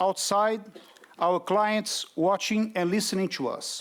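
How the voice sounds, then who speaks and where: Speaking with a Brazilian Portuguese accent, a man talks. His pace is fairly slow. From Brazil, Rio de Janeiro. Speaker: development bank representative. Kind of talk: conference speech.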